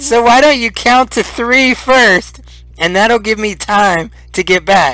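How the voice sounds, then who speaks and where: A man's high-pitched, put-on character voice. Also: fairly slow pace, ordinary pitch variation. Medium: actual play.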